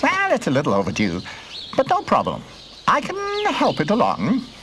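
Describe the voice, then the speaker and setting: The speaker uses a cartoonish character voice at a moderate pace. Clear background noise runs throughout. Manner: offhand, flippant.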